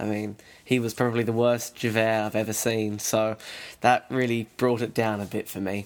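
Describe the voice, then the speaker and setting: With an Australian accent, a man speaks at a moderate pace and medium pitch. His intonation is monotone and flat. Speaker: podcast host. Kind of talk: interview.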